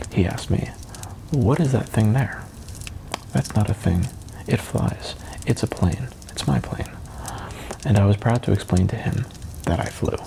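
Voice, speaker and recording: Over noticeable background noise, a man with a fairly low pitch and a soothing tone talks at a moderate pace with lively intonation and long, frequent pauses. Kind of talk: audiobook reading.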